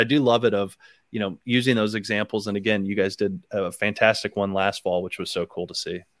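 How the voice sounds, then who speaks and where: Fairly quick and with ordinary pitch variation, a man with an ordinary speaking voice and an American accent is heard on a very clean recording with a silent background. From Ohio, Akron area. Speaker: podcast host. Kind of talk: casual interview.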